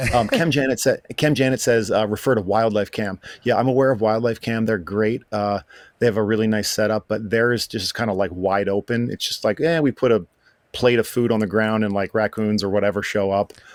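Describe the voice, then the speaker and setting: In an ordinary speaking voice with an American accent, a man talks at a fairly quick pace and a fairly low pitch. The sound is dry and close with no echo, and his intonation stays fairly even. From Appalachia, US. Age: 40s. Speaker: Twitch streamer and moderator. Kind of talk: casual chat. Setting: livestreamed podcast.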